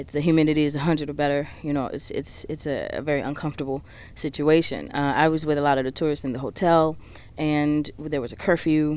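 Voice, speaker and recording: In a New Orleans accent, a woman with a very deep, low pitch talks at a very fast pace with monotone, flat intonation. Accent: New Orleans Southern US. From US South, New Orleans, Louisiana. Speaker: singer, songwriter and spoken word artist. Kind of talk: interview.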